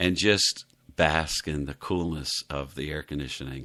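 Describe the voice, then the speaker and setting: Recorded very cleanly against a silent background, a man with an American accent speaks in a bright, sharp tone. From US South, Miami, Florida. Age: 60s. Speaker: devotional podcast host. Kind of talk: devotional podcast talk.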